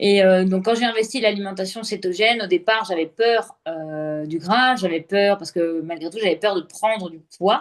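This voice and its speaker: A normal speaking voice at a moderate pace, with ordinary pitch variation and hardly any pauses. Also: woman, medium pitch for a woman, big swings in loudness. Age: 30s. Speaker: entrepreneur sharing her health story. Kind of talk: interview testimony.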